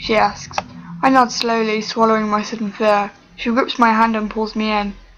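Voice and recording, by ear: Natural-voiced reading aloud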